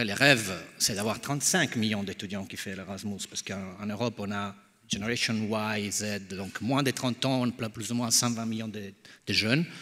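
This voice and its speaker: A man with an Italian accent talks at a fairly low pitch with fairly even intonation, recorded very cleanly against a silent background. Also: moderate pace. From Italy. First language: Italian (speaking French). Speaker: think tank founder. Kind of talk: panel discussion. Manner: halting.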